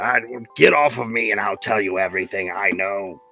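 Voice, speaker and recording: Over faint music in the background, a man uses a raspy, put-on character voice at fairly low pitch and a moderate pace. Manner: defensive, pleading, grudging.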